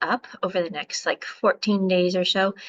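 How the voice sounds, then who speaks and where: Recorded with a dry, close sound and no echo, a woman with an American accent speaks at a moderate pace in a bright, sharp tone. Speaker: physician. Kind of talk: lecture. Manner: halting, many fillers.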